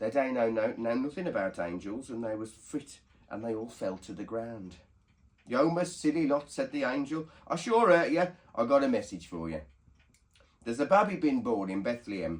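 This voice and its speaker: A man's voice at a moderate pace, with very wide swings in pitch. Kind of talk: dialect story reading.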